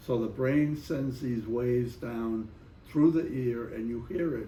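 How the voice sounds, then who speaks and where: In a room with audible echo, a man with a medium pitch speaks very slowly in a somewhat breathy voice with a dark, mellow tone. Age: 80s+. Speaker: Vietnam War veteran. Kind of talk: interview.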